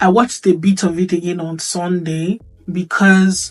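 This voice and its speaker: Music plays in the background. Over it, a woman speaks with fairly even intonation. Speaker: YouTuber, lifestyle commentator. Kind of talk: casual vlog talk. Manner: conversational, hesitant fillers.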